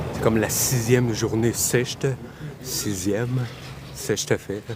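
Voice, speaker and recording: Against noticeable background noise, a man speaks at a medium pitch and fairly slow pace with fairly even intonation. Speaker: travel vlogger. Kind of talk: live-stream walking vlog. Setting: outdoors. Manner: loud; casual, rambling.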